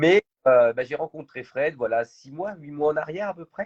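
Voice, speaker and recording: The voice belongs to a man. His sound is dry and close, without any echo. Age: 40s. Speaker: entrepreneur. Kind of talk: interview. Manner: hesitant, many fillers.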